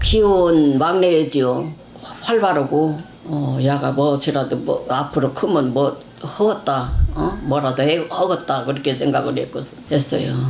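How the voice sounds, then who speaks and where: A woman's very deep, low voice at a fairly slow pace, with ordinary pitch variation, audible room echo and noticeable background noise. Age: 80s+. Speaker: mother of a missing person. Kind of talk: interview. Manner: halting.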